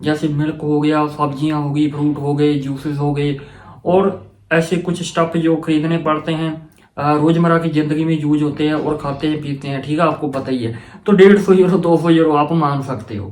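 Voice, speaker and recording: Audible room echo surrounds a man with a fairly high pitch. He talks at a moderate pace with fairly even intonation. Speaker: student advice vlogger. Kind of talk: casual explainer vlog. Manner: halting, stumbles over words.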